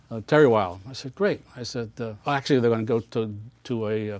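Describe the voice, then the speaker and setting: Here a man with an American accent talks at a very fast pace, at a medium pitch with ordinary pitch variation. The background is quiet. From New York, Westchester County. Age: 70s. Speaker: charity founder, retired corporate worker. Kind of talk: interview storytelling. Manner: halting, many restarts and fillers.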